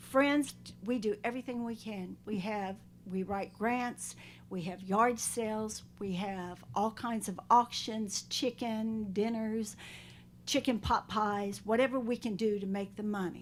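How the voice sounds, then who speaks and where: A woman with a North Carolina accent speaks at a fairly slow pace, her pitch fairly high and her intonation fairly even. The recording is very clean, with a silent background. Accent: Southern US (North Carolina). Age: 70s. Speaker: animal shelter volunteer, public commenter. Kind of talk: public comment at county board meeting. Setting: county board meeting room. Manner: pleading, heartfelt.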